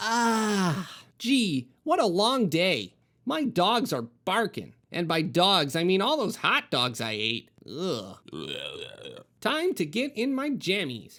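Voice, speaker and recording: A man's put-on character voice, high-pitched, with very wide pitch swings and a very slow pace, on a very clean recording with a silent background. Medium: read story. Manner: fussy, rambling.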